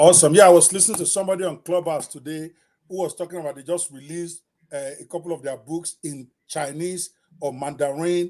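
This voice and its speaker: Over music in the background, a man with a non-native accent talks at a fairly quick pace in an animated, high-pitched voice, his loudness swinging widely. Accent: noticeable non-native. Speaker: podcast host. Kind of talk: live interview show. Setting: livestream video interview.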